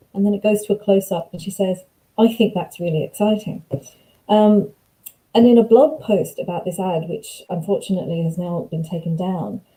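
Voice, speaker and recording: A woman's somewhat breathy, medium-pitched voice at a fairly quick pace, with ordinary pitch variation. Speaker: academic researcher. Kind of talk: lecture. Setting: video call.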